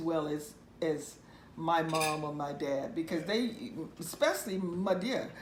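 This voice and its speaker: A woman's fairly low voice with a Southern US accent, over noticeable background noise. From Mississippi, US South. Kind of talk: oral history interview answer. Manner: conversational, storytelling.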